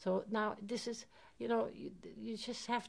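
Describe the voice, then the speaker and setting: A woman with a fairly high pitch and some vocal fry talks at a moderate pace. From Germany. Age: 70s. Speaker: Holocaust survivor. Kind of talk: testimony. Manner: halting.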